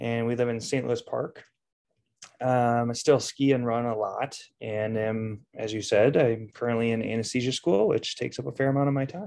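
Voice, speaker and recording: Speaking at a moderate pace, a man has a plain, everyday voice at a medium pitch. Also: fairly even intonation. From Minnesota. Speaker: nurse and anesthesia student. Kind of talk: interview.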